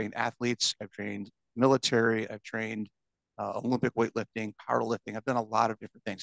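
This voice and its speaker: A man at medium pitch rattles off words at a very fast pace in a monotone, flat way with vocal fry, the sound dry and close with no echo. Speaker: fitness coach. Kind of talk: interview. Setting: podcast.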